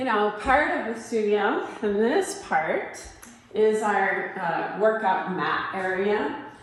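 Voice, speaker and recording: Over noticeable background noise and audible room echo, a woman with an American accent speaks at a very slow pace. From Utah. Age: 60s. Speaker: personal trainer. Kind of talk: studio tour and exercise tutorial. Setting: fitness studio.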